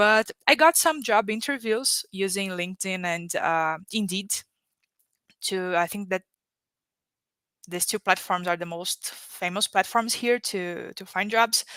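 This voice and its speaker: With a Brazilian Portuguese accent, the voice has a bright, sharp tone, ordinary pitch variation, big swings in loudness, a fairly slow pace and long, frequent pauses, recorded very clean with a silent background and a dry, close sound with no echo. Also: woman, medium pitch for a woman. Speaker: economic development worker, panel guest. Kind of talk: live-streamed panel interview. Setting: livestream.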